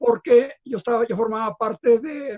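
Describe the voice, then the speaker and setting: A man's extremely high-pitched voice moves with ordinary pitch variation. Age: 70s. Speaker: writer and former publishing executive. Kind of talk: radio interview. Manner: halting, many repetitions.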